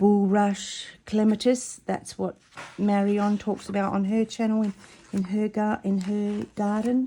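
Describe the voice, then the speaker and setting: Her dark, mellow tone comes with a somewhat breathy quality as this woman talks at a fairly slow pace in a medium pitch. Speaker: embroidery crafter. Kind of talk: casual tutorial.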